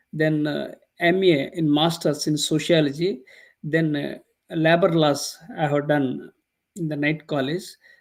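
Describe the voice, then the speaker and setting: Speaking fairly slowly with long, frequent pauses, a man with an Indian accent keeps a monotone, flat intonation at a fairly high pitch. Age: 60s. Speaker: professor. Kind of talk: interview. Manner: halting.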